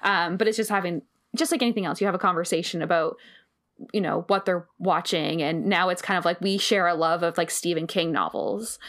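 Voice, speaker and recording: Fairly low in pitch, a woman uses an ordinary speaking voice with fairly even intonation and very even loudness at a fairly quick pace, on a very clean recording with a silent background. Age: 30s. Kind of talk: casual chat. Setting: home recording in bedroom.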